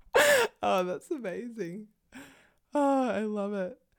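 A woman with an Australian accent speaks at medium pitch with lively intonation on a very clean recording with a silent background. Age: 20s. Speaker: podcast co-host. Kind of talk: casual chat; reading aloud. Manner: animated.

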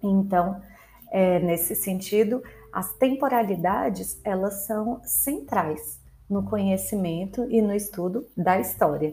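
Very slow female speech at medium pitch, with ordinary pitch variation and audible room echo. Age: 30s. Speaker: history teacher. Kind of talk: educational podcast lecture. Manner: casual, conversational with fillers.

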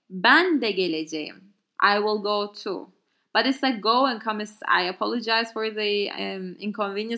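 A woman with a Turkish accent, medium pitch and bright, sharp tone at a moderate pace, in a very clean recording with a silent background. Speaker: language teacher podcaster. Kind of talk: tutorial. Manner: halting.

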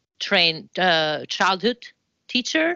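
A woman with an Italian accent speaks at a fairly slow pace in a bright, sharp tone. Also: dry, close sound with no echo, quiet background. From Italy, Florence. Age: 40s. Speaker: dance professor and choreographer. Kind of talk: interview.

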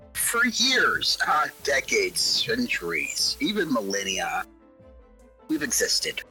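Clear music plays in the background as a put-on character voice moves at a fairly slow pace. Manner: casual, rambling, then menacing.

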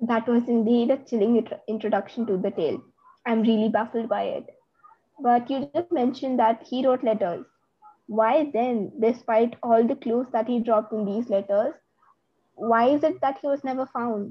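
A woman speaks at a moderate pace in an ordinary speaking voice. Her pitch is fairly high, with ordinary variation. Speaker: podcast host. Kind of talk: interview questions, casual conversation. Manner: curious, reactive, polite.

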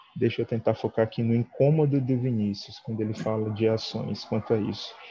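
A man speaks at medium pitch with ordinary pitch variation. Music plays in the background. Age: 30s. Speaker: dance teacher. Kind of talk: online talk with discussion.

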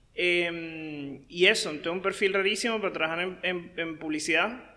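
A man with a Venezuelan accent, fairly even intonation and a moderate pace. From Venezuela (Caracas). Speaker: marketing consultant. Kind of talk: interview.

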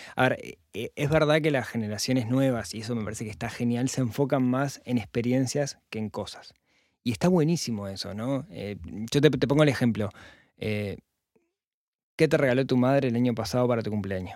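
Speaking at a moderate pace and medium pitch with ordinary pitch variation, a man with an unremarkable speaking voice comes through a very clean recording with a silent background. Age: 40s. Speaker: personal finance podcaster. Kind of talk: casual interview chat.

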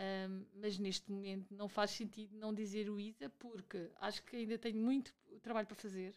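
A woman speaks in a monotone, flat intonation at a medium pitch. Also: moderate pace. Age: 40s. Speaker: university administrator. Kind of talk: interview. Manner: hesitant, with repetitions.

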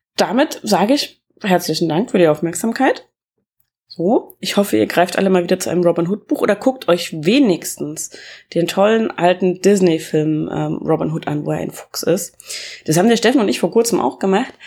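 A woman speaks with a dark, mellow tone at a medium pitch, with some vocal fry. Her intonation is lively. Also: moderate pace. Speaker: podcast host reviewing books. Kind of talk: casual book review monologue. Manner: halting, many filler sounds.

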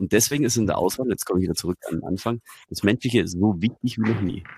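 A normal speaking voice comes through with ordinary pitch variation. The sound is dry and close, with no echo. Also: man. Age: 40s. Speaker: radio presenter and communication coach. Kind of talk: casual chat. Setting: video call.

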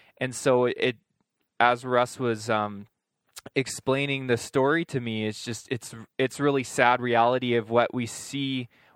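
Fairly even intonation at a moderate pace, in a dry, close sound with no echo on a very clean recording with a silent background. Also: man. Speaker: nurse. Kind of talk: casual chat. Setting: studio.

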